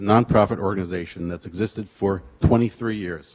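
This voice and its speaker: Very fast speech from a man. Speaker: public commenter at council meeting. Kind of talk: public comment reading prepared speech. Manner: monotone.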